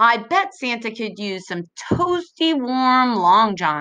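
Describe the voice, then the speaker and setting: A put-on character voice from a woman, fairly high-pitched, fairly slow, with very wide swings in pitch. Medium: read story. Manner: gently correcting.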